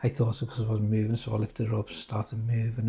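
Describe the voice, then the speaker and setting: In a Liverpool accent, a man talks with a dark, mellow, somewhat breathy tone and monotone, flat intonation. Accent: Scouse (Liverpool). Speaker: cancer patient vlogger. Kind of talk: personal vlog update. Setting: just after chemo session. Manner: halting, many fillers.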